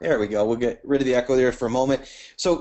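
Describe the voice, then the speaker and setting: A man with an American accent and a fairly high pitch talks at a very fast pace. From US, Richmond Virginia. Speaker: company CEO and webinar host. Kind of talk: webinar presentation. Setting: webinar call.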